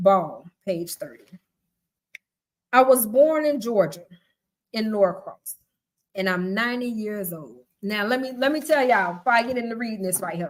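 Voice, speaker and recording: A woman with a fairly high pitch speaks at a moderate pace, leaving long, frequent pauses and showing big swings in loudness. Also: lively intonation. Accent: Southern US. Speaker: live-stream host and book reader. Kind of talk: reading aloud. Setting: live stream.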